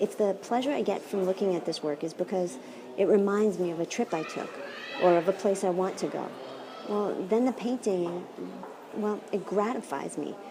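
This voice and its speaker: A soft-spoken woman at a moderate pace, over noticeable background noise. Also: medium pitch for a woman, ordinary pitch variation. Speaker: philosophy professor. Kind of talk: lecture. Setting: art gallery. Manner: animated.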